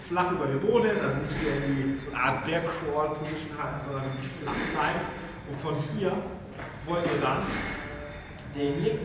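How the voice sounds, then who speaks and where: A man speaks at a moderate pace with ordinary pitch variation, in a room with strong echo and noticeable background noise. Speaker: fitness trainer. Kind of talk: tutorial. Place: gym.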